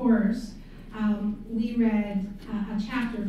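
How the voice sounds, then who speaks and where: Heard through strong room echo and light background noise, a woman speaks with monotone, flat intonation. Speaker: course instructor, event host. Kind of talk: introduction of a guest speaker. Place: hall.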